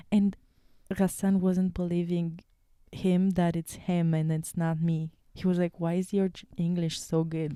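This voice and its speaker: A woman with a Romanian accent speaks at a fairly slow pace in a dark, mellow tone, her intonation flat and monotone. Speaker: podcast co-host. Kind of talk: casual chat.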